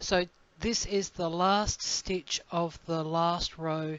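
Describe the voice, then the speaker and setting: Very slowly and at a fairly low pitch, a woman speaks with an Australian accent and fairly even intonation. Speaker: crochet designer and teacher. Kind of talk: tutorial. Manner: casual, with fillers and hesitations.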